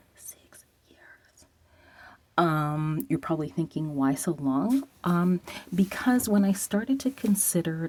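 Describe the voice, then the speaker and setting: Speaking at a fairly slow pace, a woman has a fairly low pitch, lively intonation and a dark, mellow, somewhat breathy tone. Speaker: vlogger talking about celibacy. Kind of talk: casual vlog monologue. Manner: whispering at times.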